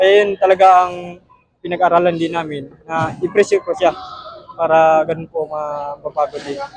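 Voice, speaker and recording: A high-pitched man at a moderate pace with fairly even intonation. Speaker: professional boxer. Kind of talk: post-fight interview. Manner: halting, many fillers.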